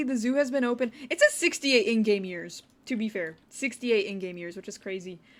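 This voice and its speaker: With a Wisconsin accent, the speaker talks fairly quickly with hardly any pauses and lively intonation. Loudness swings widely, and the recording is very clean with a silent background. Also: woman. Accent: Wisconsin Midwestern. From US Midwest, Wisconsin. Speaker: video game streamer. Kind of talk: casual livestream commentary.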